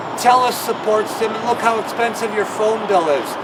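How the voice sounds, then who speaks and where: Amid noticeable background noise and audible room echo, a man with a Canadian accent speaks at an extremely high pitch and a fairly slow pace. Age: 60s. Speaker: political party leader. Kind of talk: political rant.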